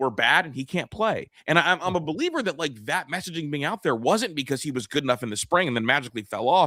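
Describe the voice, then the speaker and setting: Very fast and animated, this bright, sharp voice makes very wide pitch swings, recorded dry and close with no echo on a very clean track with a silent background. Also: man. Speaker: sports podcast host. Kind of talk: casual sports talk.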